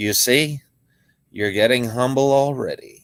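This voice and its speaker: A put-on character voice from a man, medium in pitch. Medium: read story. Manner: calm, measured.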